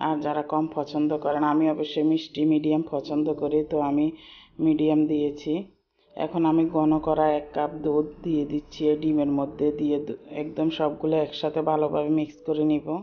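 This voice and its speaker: A woman speaks with a very deep, low pitch. Her intonation is monotone and flat, her loudness very even. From Bangladesh. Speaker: cooking vlogger. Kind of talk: cooking tutorial. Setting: closed room at home. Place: kitchen. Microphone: sound may not be good, enclosed room; phone near.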